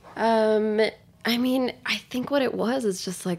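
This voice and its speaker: This is a woman with a New York accent. The recording is very clean, with a silent background. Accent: New York American. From New York City, with five childhood years in Tokyo. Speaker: chef and restaurant co-owner. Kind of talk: interview conversation.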